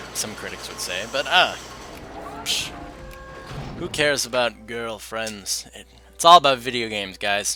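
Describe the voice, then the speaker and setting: Music plays in the background as a man speaks at medium pitch. His loudness swings a lot, and he takes long, frequent pauses. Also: ordinary pitch variation, moderate pace. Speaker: gaming youtuber. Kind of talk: let's play commentary. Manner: casual rambling with many fillers.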